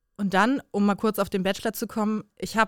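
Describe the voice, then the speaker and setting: A woman with an ordinary speaking voice, dry, close sound with no echo, very clean recording, silent background. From Bremen, northern Germany. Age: 20s. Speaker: influencer and former reality TV contestant. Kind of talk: casual chat.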